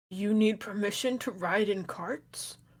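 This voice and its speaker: A put-on character voice, female-sounding, raspy and fairly high in pitch, speaks at a fairly slow pace. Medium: actual play.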